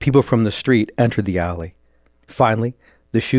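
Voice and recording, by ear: A natural voice reading text aloud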